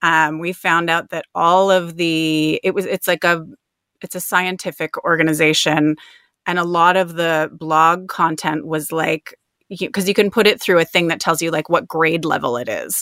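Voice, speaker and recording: A woman's fairly low, bright and sharp voice with an Ontario accent, monotone and flat, at a moderate pace in a dry, close sound with no echo. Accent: Canadian (Ontario). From Canada, outside Toronto. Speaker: copywriter, business owner. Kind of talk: casual interview. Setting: home closet, remote call.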